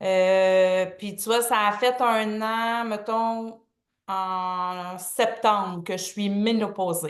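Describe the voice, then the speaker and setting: At a very slow pace and with fairly even intonation, a woman with a Quebec accent and a medium pitch speaks over a quiet background, her loudness swinging widely. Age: 50s. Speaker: testimonial guest. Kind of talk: testimony.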